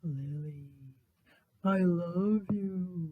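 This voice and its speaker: A man puts on a character voice. It sits high in pitch. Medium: read story.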